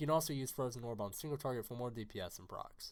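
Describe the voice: The pace is fast. Pitch variation is ordinary. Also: man.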